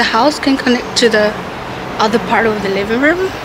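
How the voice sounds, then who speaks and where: Noticeable background noise accompanies a woman with an American accent. She has a fairly high pitch and a moderate pace. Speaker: university student studying abroad. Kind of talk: casual vlog talk to camera. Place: home room. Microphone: phone near.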